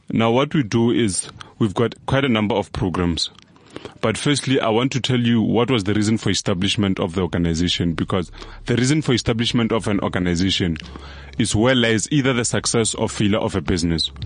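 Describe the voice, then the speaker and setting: A man with a plain, everyday voice, fairly low in pitch, with ordinary pitch variation, very even loudness and a fairly quick pace. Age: young. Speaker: social entrepreneur and motivational speaker. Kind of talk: interview. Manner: preachy.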